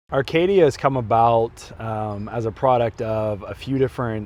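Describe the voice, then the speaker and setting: A man with an American accent speaks at a moderate pace in a medium pitch. His pitch varies in an ordinary way over a quiet background. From Oklahoma, Tulsa. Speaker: real estate investor and wellness retreat founder. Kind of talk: personal testimony in promo video.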